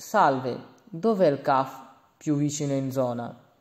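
Audible room echo surrounds a man's dark, mellow tone. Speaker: language teacher. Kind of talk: lecture.

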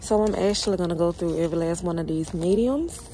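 With an ordinary speaking voice, a woman talks at a fairly low pitch over light background noise, the sound dry with no echo. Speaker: vlogger shopping. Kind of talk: casual vlog chat. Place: shop. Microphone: phone near.

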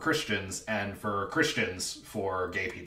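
Upbeat, playful delivery from a man at a fairly slow pace, with audible room echo. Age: 20s. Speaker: freelance writer and theater teacher. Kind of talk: reality show casting audition talk to camera. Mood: playful, flirty humor. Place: home room. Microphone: webcam.

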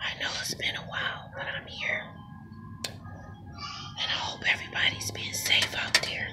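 A woman whispers while music plays in the background. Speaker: ASMR creator. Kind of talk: ASMR eating video talk to camera. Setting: outdoors. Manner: whispered. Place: garden. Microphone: phone near.

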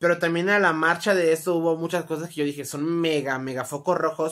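The speaker has a Mexican accent and an animated tone. The pace is fairly quick. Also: woman, quiet background. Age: 20s. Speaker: YouTuber; vlogger. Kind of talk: storytime monologue. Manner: casual, animated. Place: home room. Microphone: phone near.

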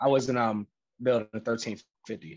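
A man speaks at a medium pitch and a moderate pace. His intonation stays fairly even.

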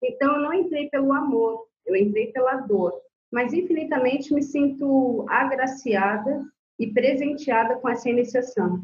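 The speech moves at a fairly slow pace with ordinary pitch variation and very even loudness. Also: woman, high pitch for a woman. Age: 40s. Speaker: Candomblé priestess. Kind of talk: casual interview.

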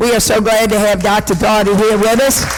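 High-pitched male speech at a fairly quick pace, amid audible room echo and noticeable background noise. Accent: American. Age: 70s. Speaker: city council member. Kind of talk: public meeting remarks. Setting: city council meeting.

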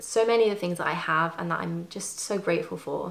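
A woman with a British accent. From UK. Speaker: fashion YouTuber. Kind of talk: casual chat. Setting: at home. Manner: soft-spoken; rambling. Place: home room.

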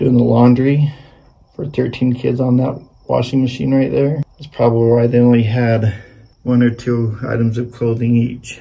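The voice is somewhat breathy, with monotone, flat intonation. It moves at a moderate pace. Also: man. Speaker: tourist vlogger. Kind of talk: casual vlog chat. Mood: curious, lightly humorous. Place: open country. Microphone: phone near.

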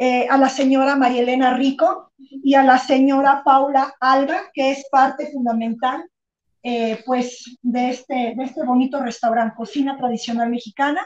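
A high-pitched female voice, fairly slow and fairly even in intonation. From Mexico, Guanajuato. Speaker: local presenter. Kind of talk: introduction. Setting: restaurant. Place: kitchen.

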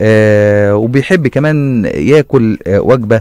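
Recorded dry with no echo over a quiet background, a man speaks with ordinary pitch variation. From Egypt. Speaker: radio host. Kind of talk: radio segment, casual. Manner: halting, many fillers. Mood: playful, amused, laughing. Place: studio. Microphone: studio mic.

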